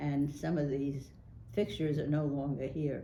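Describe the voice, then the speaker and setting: A woman with a very deep, low pitch, dark, mellow tone, and vocal fry, at a fairly slow pace with audible room echo. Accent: American. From New York City (Brooklyn). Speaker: local politician. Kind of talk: oral history interview. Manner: hesitant, many fillers.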